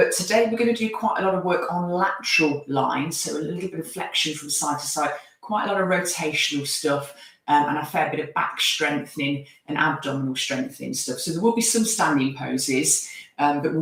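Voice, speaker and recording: Her voice very deep and low in pitch with ordinary pitch variation, a woman speaks amid noticeable background noise and audible room echo. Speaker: yoga teacher. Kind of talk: live online yoga class instruction. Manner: calm, guiding.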